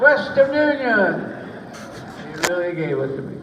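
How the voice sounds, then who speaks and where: A man with an American accent speaks at a very slow pace, with lively intonation. Noticeable background noise runs underneath. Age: 80s+. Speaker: war veteran. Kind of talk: interview answer.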